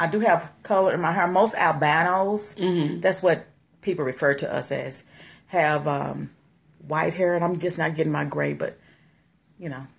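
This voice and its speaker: A woman with an American accent speaks in a fairly low pitch with vocal fry and long, frequent pauses. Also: ordinary pitch variation. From American South. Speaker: livestream host demonstrating a skincare product. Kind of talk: casual livestream chat. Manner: casual, chatty. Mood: warm, cheerful. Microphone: phone near.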